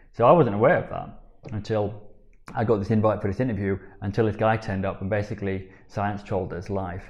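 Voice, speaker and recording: Somewhat breathy, a man talks at a fairly low pitch with fairly even intonation. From Yorkshire, Sheffield. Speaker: biohacking coach. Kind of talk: casual interview. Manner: halting.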